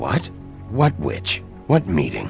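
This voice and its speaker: This is a put-on character voice with a raspy edge. Faint music plays in the background. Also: man. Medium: machinima. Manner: terse, gruff.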